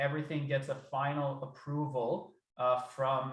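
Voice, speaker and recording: A man speaks in a somewhat breathy, fairly high voice. His intonation stays fairly even. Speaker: research program administrator. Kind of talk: work meeting discussion.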